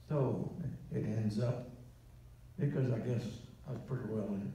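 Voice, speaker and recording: A man is speaking. The room echo is strong. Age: 80s+. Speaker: war veteran. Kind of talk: interview answer. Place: hall. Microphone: pa.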